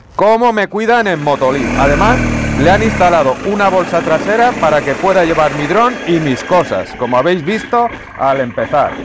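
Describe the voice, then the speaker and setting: A man speaks at a moderate pace with noticeable background noise. The sound is dry, with no echo. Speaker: motorcycle vlogger. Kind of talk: casual vlog chat. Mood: enthusiastic. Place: motorbike. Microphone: helmet.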